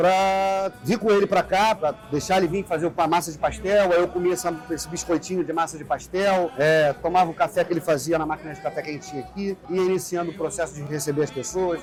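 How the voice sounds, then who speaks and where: Music plays in the background. A man with a high pitch talks at a fairly quick pace. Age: 40s. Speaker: bar co-owner. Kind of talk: interview testimony.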